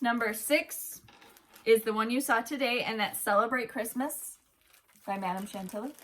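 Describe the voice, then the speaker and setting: Pitched fairly high, a woman speaks in an animated tone at a moderate pace with ordinary pitch variation. She leaves long, frequent pauses. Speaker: cross-stitch video host. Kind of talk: casual chat, giveaway announcement. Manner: loud.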